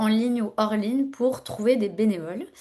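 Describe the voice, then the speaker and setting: Fairly slow, fairly high-pitched female speech with normal pitch movement. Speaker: workshop facilitator. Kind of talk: online workshop presentation. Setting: video call. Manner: hesitant, many fillers.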